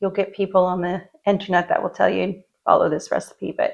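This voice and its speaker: Soft-spoken, a woman talks at a moderate pace. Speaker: lifestyle vlogger. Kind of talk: casual talk to camera.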